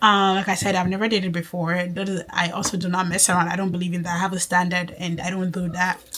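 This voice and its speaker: A woman's medium-pitched voice with an American accent, very fast and with hardly any pauses, over noticeable background noise. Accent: switches between Nigerian and American. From Nigeria. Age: 20s. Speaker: faith and lifestyle vlogger. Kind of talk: casual vlog talk to camera. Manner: animated.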